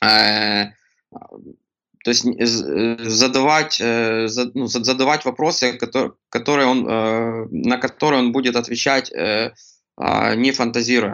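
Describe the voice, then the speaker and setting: At a very slow pace, a man talks at a medium pitch with very even loudness and fairly even intonation. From Ukraine, Kremenchuk (Poltava region). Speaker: product designer. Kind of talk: casual interview. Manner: halting, many fillers and restarts.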